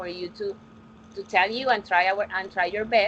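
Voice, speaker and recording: A woman speaks with a Colombian accent at a medium pitch. Her intonation is fairly even. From Colombia, Barranquilla. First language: Spanish. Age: 20s. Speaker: English teacher. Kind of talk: online class teaching. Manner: halting.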